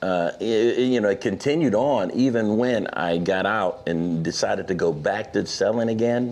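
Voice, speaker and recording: An unremarkable speaking voice from a man with an American accent, fairly low in pitch, at a moderate pace with hardly any pauses, very even loudness and ordinary pitch variation. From Pittsburgh, Pennsylvania. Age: 60s. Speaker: author. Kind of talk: interview.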